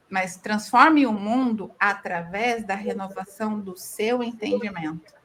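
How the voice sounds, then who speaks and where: Very slow yet with hardly any pauses, a woman speaks at a fairly high pitch with ordinary pitch variation. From southern Brazil, interior of Paraná. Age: 40s. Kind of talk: podcast interview.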